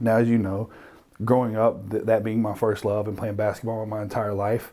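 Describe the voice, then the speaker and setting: In an American accent, a man speaks at a moderate pace with a fairly low pitch, a dark, mellow tone, and monotone, flat intonation. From North Carolina, small town. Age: 30s. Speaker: rapper and clothing brand owner. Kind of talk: casual interview.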